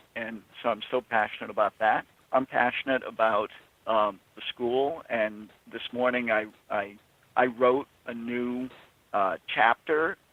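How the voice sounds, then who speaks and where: The speaker goes at a fairly slow pace with fairly even intonation. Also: man, medium pitch for a man. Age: 60s. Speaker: trial lawyer and author. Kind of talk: casual chat. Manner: halting.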